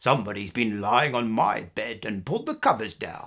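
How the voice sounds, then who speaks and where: A man growls in a put-on character voice at medium pitch and a moderate pace. The recording is very clean, with a silent background. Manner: growling.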